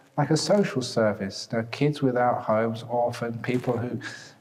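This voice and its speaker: A man of medium pitch at a moderate pace, with noticeable background noise. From British. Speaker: Buddhist monk. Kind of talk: dharma talk.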